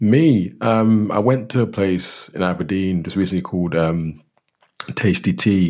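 With a London accent and lively intonation, a man speaks at a fairly slow pace in a very deep, low voice. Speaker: podcast co-host. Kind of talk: casual chat.

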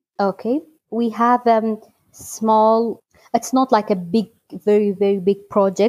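A woman with a Kurdish accent speaks at a fairly slow pace with a fairly high pitch and fairly even intonation. Her loudness stays very even in a dry, close sound with no echo. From Iraqi Kurdistan (Halabja). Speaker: electrical engineer at a recycling project. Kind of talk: interview. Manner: halting.

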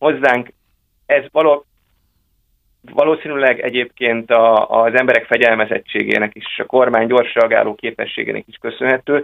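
A man's loudness rises and falls in big swings while he keeps a moderate pace. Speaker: think tank research director. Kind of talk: political discussion. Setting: phone call. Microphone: telephone line.

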